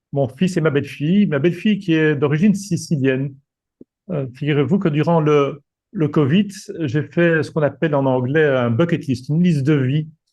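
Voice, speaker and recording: A man's fairly high voice comes out somewhat breathy as he talks at a moderate speed. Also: ordinary pitch variation. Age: 60s. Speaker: retired executive and coach. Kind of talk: presentation. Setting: video call. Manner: halting.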